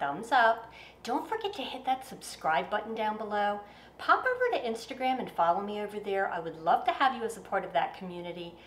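With audible room echo, a woman speaks at a fairly quick pace in a fairly high pitch, her voice swinging very widely in pitch. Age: 50s. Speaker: fashion vlogger. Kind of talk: bloopers and outro of a haul video. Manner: stumbling over words. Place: home room.

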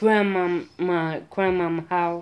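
A very slow pace with ordinary pitch variation. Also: woman. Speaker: vlogger. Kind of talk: casual vlog chat, storytelling. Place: home room. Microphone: phone near.

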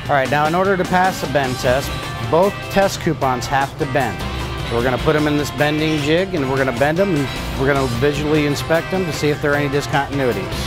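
Over clear background music, a man talks at a very fast pace with ordinary pitch variation, the sound dry with no echo. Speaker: welding instructor. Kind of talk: tutorial. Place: workshop. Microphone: lapel.

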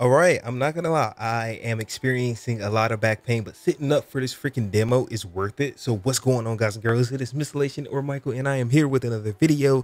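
The sound is dry, with no echo. A man talks at a very fast pace with ordinary pitch variation. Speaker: gaming creator. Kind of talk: casual vlog chat. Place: home room. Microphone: studio mic.

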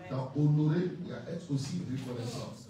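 Fairly slow speech from a man at a fairly high pitch, with ordinary pitch variation, strong room echo and light background noise. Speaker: preacher. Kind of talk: sermon. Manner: emphatic, teaching cadence, explains points one by one. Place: church. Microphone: handheld.

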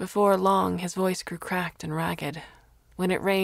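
An unforced reading voice shows ordinary shifts in pitch.

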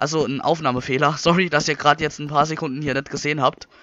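Very fast in pace, a man speaks at a fairly high pitch. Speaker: gaming youtuber. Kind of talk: let's play commentary. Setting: home recording with microphone. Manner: casual, chatty.

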